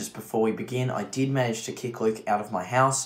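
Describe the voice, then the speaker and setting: The pace is moderate. It's a man doing the talking. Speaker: maths tutor. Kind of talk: tutorial. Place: home room. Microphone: webcam.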